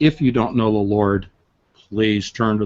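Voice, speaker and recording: A man speaks in an unremarkable speaking voice at a moderate pace. His pitch is fairly low and his intonation fairly even. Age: 60s. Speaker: author and researcher. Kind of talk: casual chat.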